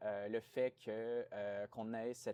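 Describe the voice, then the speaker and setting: At a very slow pace, a man speaks in a medium pitch with a dark, mellow tone and fairly even intonation, the sound dry and close with no echo. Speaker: playwright and graduate student. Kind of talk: interview. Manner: hesitant, many fillers.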